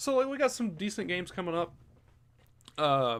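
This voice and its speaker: Over a silent background in a very clean recording, a man with an American accent talks at a moderate pace in a high pitch with very wide pitch swings. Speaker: sports podcast host. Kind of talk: casual sports news rundown. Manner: hesitant, many fillers.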